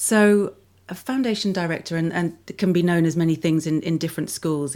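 Speaking at a fairly quick pace with a southern English accent, a woman shows ordinary pitch variation in a very clean recording with a silent background. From southwest London. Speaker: school foundation director. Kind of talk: interview. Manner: halting, many repeated words.

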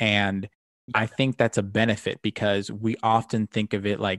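A fairly slow, fairly low-pitched male voice in a dry, close sound without echo. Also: quiet background. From Cuban-American family. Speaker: podcast host, tabletop gamer. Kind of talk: casual chat. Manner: animated.

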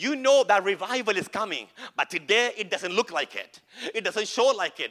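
An animated, high-pitched man's voice over noticeable background noise. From India (Kerala). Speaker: pastor. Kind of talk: Pentecostal revival preaching, call-and-response with congregation. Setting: church service with live audience. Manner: animated, rising exhortation with repeated rhetorical questions; emphatic, building crescendo with calls for amens.

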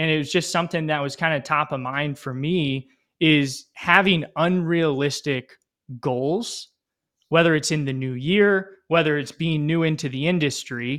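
An ordinary speaking voice talks at a moderate pace with fairly even intonation. The recording is very clean, with a silent background. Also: man, fairly high pitch for a man. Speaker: real estate professional. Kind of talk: casual podcast conversation.

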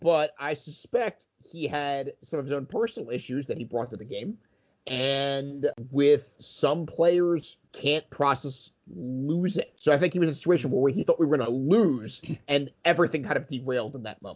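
A man talks at a moderate pace in a fairly high voice. His pitch varies normally while his loudness swings widely. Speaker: podcast co-host and dungeon master. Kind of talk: casual chat.

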